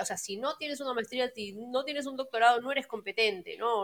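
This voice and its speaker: Talking at a very fast pace, a woman uses a fairly high pitch. Her voice has ordinary pitch variation. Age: 40s. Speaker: life coach. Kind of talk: interview. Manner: hesitant, many fillers.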